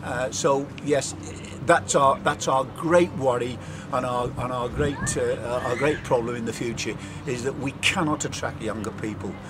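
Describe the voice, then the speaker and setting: A man speaks at a fairly slow pace in a medium pitch with ordinary pitch variation over noticeable background noise. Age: 60s. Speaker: bowls club official. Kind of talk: interview. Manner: halting, many repetitions.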